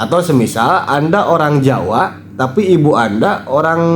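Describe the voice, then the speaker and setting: Speaking with a West Javanese accent and lively intonation, a man is heard with audible room echo. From West Java, Indonesia (Sundanese). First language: Sundanese (speaking Indonesian). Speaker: commentator on Sundanese culture and spirituality. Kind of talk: video commentary monologue.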